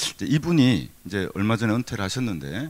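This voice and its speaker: A man's voice with very wide pitch swings. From Gyeongsang region, South Korea. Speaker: university professor. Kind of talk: keynote lecture. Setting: conference hall with audience. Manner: conversational, with fillers and self-corrections.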